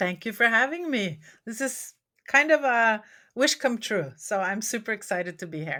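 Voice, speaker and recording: A woman's fairly high, bright, sharp voice in a Norwegian accent, at a moderate pace with very wide pitch swings, on a very clean recording with a silent background. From Norway. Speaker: memoirist and former academic. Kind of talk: interview conversation.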